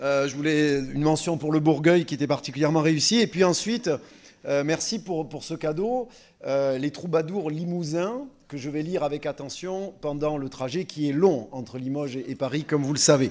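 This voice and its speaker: A man at a moderate pace, with a fairly high pitch and ordinary pitch variation. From southwest France (Landes). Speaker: literature lecturer, trains French teachers. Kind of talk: public lecture. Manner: hesitant, many 'euh' fillers.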